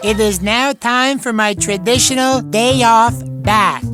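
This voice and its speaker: A cartoonish character voice at a fairly high pitch moves at a fairly slow pace. Clear music plays in the background. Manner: formal, deadpan, no contractions.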